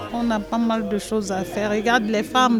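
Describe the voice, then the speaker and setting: The speaker keeps a fairly even intonation, with noticeable background noise and audible room echo. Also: woman. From Ivory Coast. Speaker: association cook. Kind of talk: interview.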